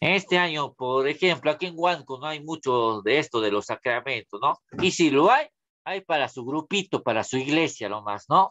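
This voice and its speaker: Against a quiet background, a man speaks at a moderate pace with a bright, sharp tone and lively intonation. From Peru, Huánuco; Peru. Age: 30s. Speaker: school religion teacher. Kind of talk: online class lecture. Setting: video call. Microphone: webcam.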